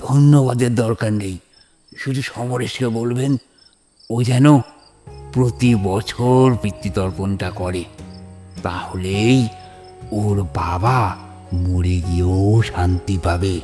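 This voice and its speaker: Over faint background music, a man performs a cartoonish character voice at a fairly low pitch and a fairly slow pace. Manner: gentle, respectful.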